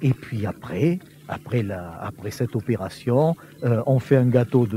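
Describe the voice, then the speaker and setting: A man talks very slowly, his medium pitch showing ordinary pitch variation, while noticeable background noise carries on behind him. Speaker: teacher and historian. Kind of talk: interview answer. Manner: explanatory, hesitant with fillers.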